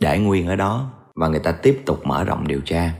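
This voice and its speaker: Against a silent background in a very clean recording, a man with a very deep, low voice speaks at a moderate pace with lively intonation. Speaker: true crime storyteller. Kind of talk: storytelling narration. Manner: casual conversational.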